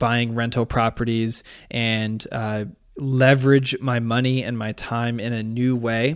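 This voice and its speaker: The recording is very clean, with a silent background. A man speaks slowly at medium pitch in a flat monotone. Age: 30s. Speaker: podcast host and real estate agent, former Olympic rower. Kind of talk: solo podcast monologue.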